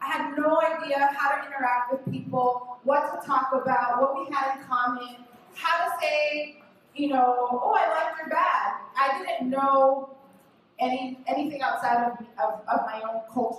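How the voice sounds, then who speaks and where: At a fairly slow pace, a woman speaks at a high pitch. Room echo is audible, along with noticeable background noise. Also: ordinary pitch variation. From Los Angeles, California. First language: Spanish. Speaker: activist panelist. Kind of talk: panel talk, personal story.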